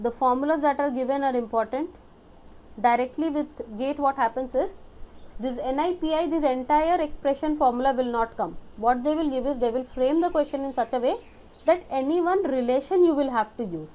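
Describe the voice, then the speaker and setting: A woman talks at a fairly quick pace with a high pitch and ordinary pitch variation. Her tone is dark and mellow. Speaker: exam prep teacher. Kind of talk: lecture. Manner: fast.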